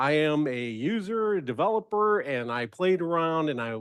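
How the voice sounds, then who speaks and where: Loud speech with very wide pitch swings comes at a fairly slow pace over a quiet background. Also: man. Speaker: software architect and presenter. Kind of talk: technical presentation.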